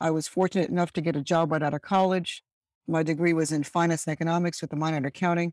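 A woman talks at a very fast pace in monotone, flat intonation. The recording is very clean, with a silent background. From Birmingham, England, Caribbean parents. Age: 60s. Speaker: retired corporate diversity executive. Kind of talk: interview.

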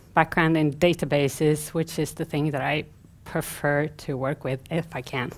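A woman with an unremarkable speaking voice talks at a fairly slow pace, her pitch varying in an ordinary way. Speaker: conference speaker. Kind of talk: conference talk. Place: stage.

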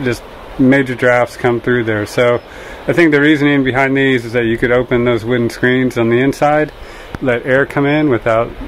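Male voice in a monotone, flat intonation at a moderate pace, over light background noise. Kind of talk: casual walkthrough tour. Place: garden. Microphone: phone near.

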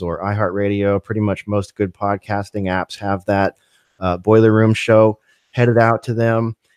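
Speaking at a moderate pace, a man uses a fairly low pitch and a monotone, flat intonation. The sound is dry with no echo, and the background is quiet. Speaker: podcast host. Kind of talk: casual livestream film discussion. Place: home room. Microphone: studio mic.

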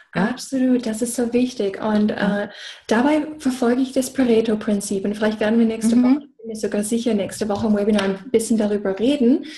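With an English accent, a woman talks at a very fast pace with a fairly high pitch, fairly even intonation and big swings in loudness. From USA. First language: English (speaking German). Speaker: business coach. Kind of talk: casual chat. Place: home room. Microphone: video call.

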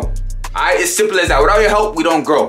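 Over faint music in the background, a man uses a raised, projected voice with ordinary pitch variation. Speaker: vlogger. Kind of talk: casual vlog chat. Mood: playful, excited. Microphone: phone near.

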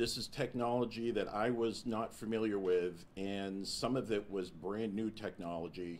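He has an unremarkable speaking voice, pitched fairly low with ordinary variation. This man talks at a fairly slow pace. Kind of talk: press conference statement. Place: meeting room. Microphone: podium.

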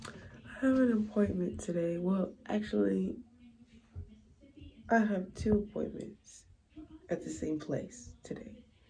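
A woman speaks at a very slow pace with long, frequent pauses. Her medium pitch shows ordinary variation, with faint music in the background. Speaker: vlogger. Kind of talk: casual vlog. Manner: soft-spoken. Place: bathroom. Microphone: phone near.

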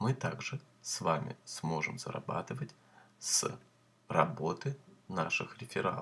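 Very wide pitch swings and vocal fry mark a man's very slow delivery, broken by long, frequent pauses. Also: medium pitch for a man. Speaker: YouTuber promoting crypto earning schemes. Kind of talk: sales pitch, screen-share tutorial. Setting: screen recording with voiceover. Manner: brisk, upbeat pitchman, step-by-step instructions; salesy, repeatedly urges viewers to subscribe and like.

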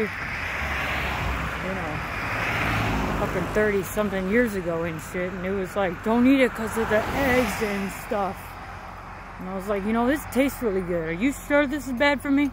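A woman speaks at a moderate pace with ordinary pitch variation and long, frequent pauses. The sound is dry with no echo, and background noise is noticeable. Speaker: vlogger. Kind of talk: casual vlog chat. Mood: animated storytelling. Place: street. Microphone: headset.

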